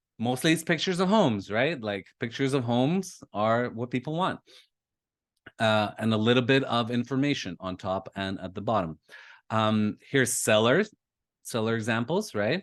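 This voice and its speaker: With a Canadian accent, a man at medium pitch speaks at a moderate pace with lively intonation in an unremarkable speaking voice against a quiet background. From Canada, Toronto. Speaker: lead generation marketer. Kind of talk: webinar presentation.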